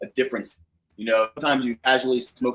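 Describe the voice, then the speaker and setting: With an American accent, a man talks at a very fast pace in a medium pitch. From New Jersey. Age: 30s. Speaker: cigar channel host, coast guard officer. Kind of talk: casual chat. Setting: live stream video call. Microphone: echo on the stream.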